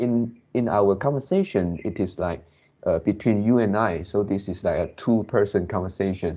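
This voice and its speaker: A man with a non-native accent and a fairly low voice. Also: ordinary pitch variation. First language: not English. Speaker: English learner. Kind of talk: casual chat. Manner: slow, hesitant with many fillers; pauses to search for words.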